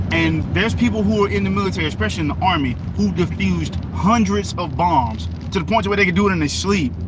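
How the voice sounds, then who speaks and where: A man speaks with a very deep, low pitch and ordinary pitch variation, very fast and with hardly any pauses. Audible room echo and noticeable background noise fill the recording. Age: 30s. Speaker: livestreamer. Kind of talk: casual chat.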